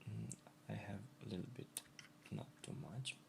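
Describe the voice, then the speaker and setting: A man with a non-native accent and vocal fry. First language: not English. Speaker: graphic designer. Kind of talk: tutorial. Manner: halting, with repetitions.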